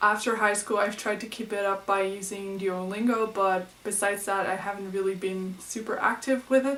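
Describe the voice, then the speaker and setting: A woman at a medium pitch, monotone and flat in intonation, at a moderate pace with hardly any pauses, over noticeable background noise. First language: Dutch. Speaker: book vlogger. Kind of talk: casual vlog.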